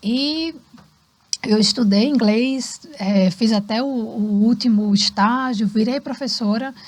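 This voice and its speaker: At a very slow pace, a woman talks in a fairly high pitch with ordinary pitch variation and very even loudness. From Brazil, Recife, Pernambuco. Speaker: cultural centre founder and former English teacher. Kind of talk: podcast interview. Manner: animated.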